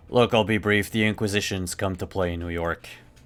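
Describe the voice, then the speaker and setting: On a very clean recording with a silent background, a man puts on a character voice with a fairly low pitch and a fairly quick pace. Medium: actual play. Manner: casual, easygoing.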